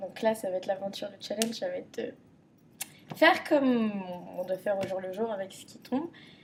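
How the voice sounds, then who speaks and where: Fairly quick and fairly high-pitched, a woman with a Parisian accent speaks with ordinary pitch variation. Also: long, frequent pauses, big swings in loudness. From Paris region, France. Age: 20s. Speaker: contestant applicant. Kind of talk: casual chat.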